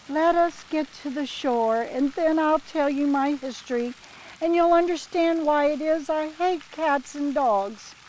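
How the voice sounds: A woman puts on a shaky character voice, high-pitched and fairly slow, against clear background noise.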